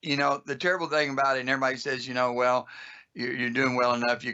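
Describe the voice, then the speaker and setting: An unremarkable speaking voice comes from a man with a medium pitch. He uses fairly even intonation with an American accent. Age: 60s. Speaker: automotive school owner. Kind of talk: podcast interview.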